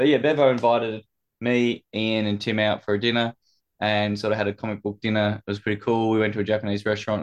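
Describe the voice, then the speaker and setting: In an Australian accent, a man talks at a very fast pace with a fairly low pitch and monotone, flat intonation. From Tasmania, Launceston. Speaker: podcast guest. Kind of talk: casual chat.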